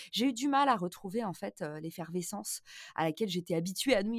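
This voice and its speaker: In a very clean recording with a silent background and a dry, close sound with no echo, a woman speaks at a fairly quick pace and medium pitch, animated in tone with very wide pitch swings. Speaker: marketing entrepreneur and podcaster. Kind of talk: interview conversation.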